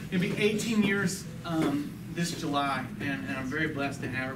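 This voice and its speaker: A man with a fairly high pitch speaks over noticeable background noise, with audible room echo. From Texas. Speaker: lay church teacher. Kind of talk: church talk. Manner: halting.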